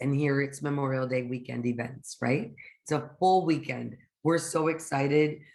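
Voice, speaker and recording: A woman with a very deep, low voice talks at a fairly slow pace, her intonation fairly even. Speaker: concierge association member presenting events. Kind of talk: webinar presentation.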